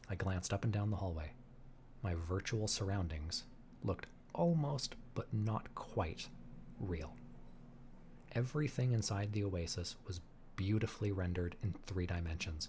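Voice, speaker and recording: A man speaks in a fairly low, somewhat breathy voice with a calm tone. He leaves long pauses, and they come often. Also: ordinary pitch variation, moderate pace. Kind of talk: audiobook reading. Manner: calm, relaxing.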